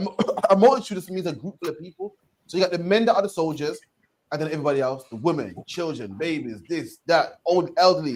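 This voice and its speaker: A man with a high-pitched voice talks very fast, his intonation lively and his loudness swinging widely. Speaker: street preacher / teacher. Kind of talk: bible teaching discussion.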